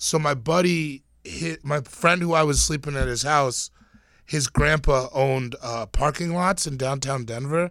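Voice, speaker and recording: With an American accent, a man of fairly high pitch speaks in an unremarkable speaking voice at a fairly slow pace, with ordinary pitch variation, in a very clean recording with a silent background. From Pacific Northwest US, Tacoma area, Washington. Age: 30s. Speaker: comedian. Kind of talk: casual chat.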